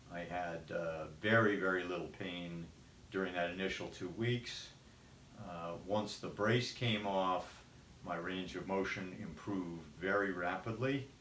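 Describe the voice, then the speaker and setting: With a very deep, low pitch and fairly even intonation, a man speaks at a moderate pace. Audible room echo and noticeable background noise fill the recording. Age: 70s. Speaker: patient. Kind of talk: testimony. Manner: halting.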